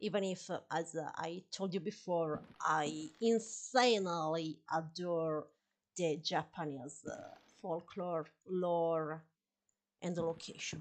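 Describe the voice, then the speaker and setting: A woman with a fairly low pitch talks at a very slow pace with ordinary pitch variation against a quiet background. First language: Italian. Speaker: gaming streamer. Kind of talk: live gameplay stream chat. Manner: halting, many fillers; animated.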